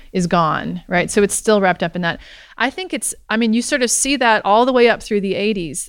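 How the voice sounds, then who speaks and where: On a very clean recording with a silent background, a woman with an American accent uses lively intonation in an unremarkable speaking voice pitched fairly high. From US South, Alabama. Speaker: history professor. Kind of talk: interview. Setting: live event at a university center.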